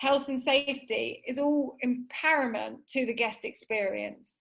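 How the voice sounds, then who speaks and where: In an English accent, a woman with a high pitch speaks at a fairly slow pace with ordinary pitch variation. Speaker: webinar presenter, hotel software specialist. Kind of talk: webinar presentation. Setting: video call.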